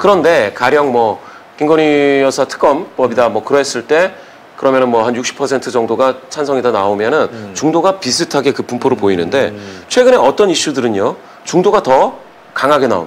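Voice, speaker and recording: A man with a plain, everyday voice speaks at a fairly quick pace and medium pitch. His intonation is lively, with light background noise behind him. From South Korea. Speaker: polling and data analyst; data analyst. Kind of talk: political commentary interview. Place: studio.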